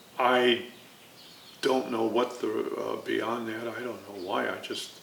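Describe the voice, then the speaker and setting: Audible room echo and noticeable background noise surround the voice. The man delivers his words at a fairly slow pace. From Chicago, US Midwest. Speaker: navy veteran and former art student. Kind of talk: oral history interview. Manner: hesitant, many fillers.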